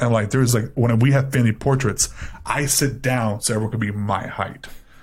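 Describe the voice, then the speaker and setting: Somewhat breathy, a man with an American accent talks at a medium pitch with fairly even intonation. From Miami, Florida (Cuban American). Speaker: podcast co-host. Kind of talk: casual chat.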